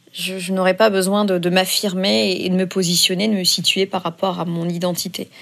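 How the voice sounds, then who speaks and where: Noticeable background noise fills the recording. Her voice as a woman sits at a medium pitch. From France. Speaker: activist. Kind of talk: testimony. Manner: halting.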